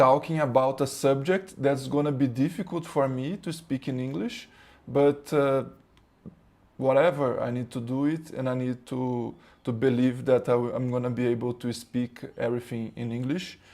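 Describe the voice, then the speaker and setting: A man with a Brazilian accent talks at a moderate pace and medium pitch with fairly even intonation, in a very clean recording over a silent background. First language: Portuguese. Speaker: spiritual teacher. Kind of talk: spiritual talk. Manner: halting, many fillers and repetitions.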